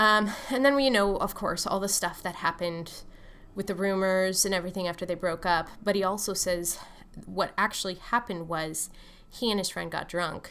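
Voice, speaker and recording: The tone is bright and sharp, with ordinary pitch variation. The recording is very clean, with a silent background. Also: woman, medium pitch for a woman. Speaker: author. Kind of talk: casual talk to camera about her books. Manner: fast; hesitant with many fillers.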